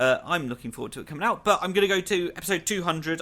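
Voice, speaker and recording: The voice has a bright, sharp tone and a British accent, with ordinary pitch variation. The recording is very clean, with a silent background. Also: man. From Britain. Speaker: podcast host. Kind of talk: casual chat.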